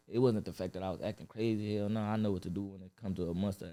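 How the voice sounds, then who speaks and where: Music plays behind a man who speaks with an American accent. His pace is very fast. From Los Angeles (Watts) and Inland Empire, California. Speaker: rap artist. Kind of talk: podcast interview. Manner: casual, filler-heavy.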